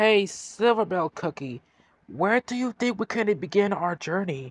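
Putting on a character voice, a man speaks high and with lively intonation at a moderate pace, recorded very cleanly against a silent background. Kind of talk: audio drama dialogue.

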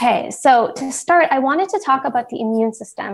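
A woman speaks in a high pitch. Her intonation is lively. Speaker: presenter. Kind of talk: lecture. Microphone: video call.

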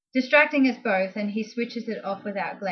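A natural voice reading with pitch that shifts in an ordinary way

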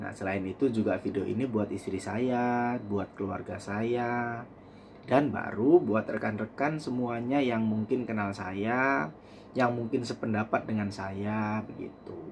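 A man talks fairly slowly at a medium pitch. His pitch varies in an ordinary way over light background noise. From East Java, Indonesia (Blitar); East Java, Indonesia. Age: 30s. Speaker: vlogger. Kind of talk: personal vlog monologue. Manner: halting, with frequent fillers. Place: home room. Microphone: phone near.

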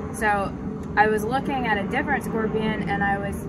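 A woman's voice, dry with no echo, amid loud background noise. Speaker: motorcycle rider reviewing helmet. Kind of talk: casual vlog chat. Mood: cheerful, enthusiastic. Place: street.

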